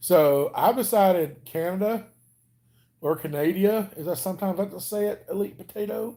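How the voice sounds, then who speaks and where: A man's high pitch and dark, mellow tone, with ordinary pitch variation at a moderate pace. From Alabama, US South. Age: 40s. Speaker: weight-loss vlogger. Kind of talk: casual live stream chat. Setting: home live stream. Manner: casual, chatty.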